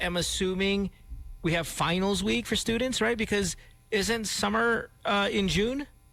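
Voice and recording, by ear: A man's high-pitched voice carries a bright, sharp tone along with vocal fry.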